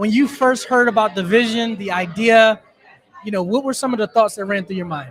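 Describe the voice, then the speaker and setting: The speaker talks at a fairly quick pace with a Philadelphia accent. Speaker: podcast host. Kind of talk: live podcast interview. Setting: live event at a taco restaurant.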